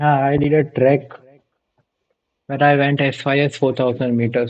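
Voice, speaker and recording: A man's fairly high-pitched voice, monotone and flat, at a very even loudness. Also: moderate pace. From India. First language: Gujarati. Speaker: vtuber streamer. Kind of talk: casual chat.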